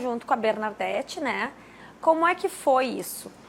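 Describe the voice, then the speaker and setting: A woman's high voice makes very wide pitch swings as she talks at a fairly slow pace. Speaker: TV talk show host. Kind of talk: TV interview.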